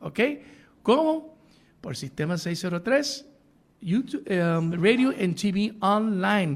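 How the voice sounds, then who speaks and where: At a very slow pace, with long, frequent pauses, a man speaks at a high pitch that swings very widely. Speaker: radio talk show host. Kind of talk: live call-in interview show.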